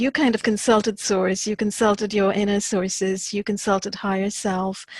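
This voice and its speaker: Moderate pace and medium pitch from a woman, over noticeable background noise. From India. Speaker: podcast interviewer. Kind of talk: interview.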